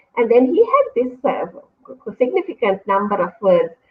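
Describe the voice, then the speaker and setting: Speaking at a fairly quick pace, a woman has a Sri Lankan accent. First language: Sinhala. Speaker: university lecturer. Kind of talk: interview. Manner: fast.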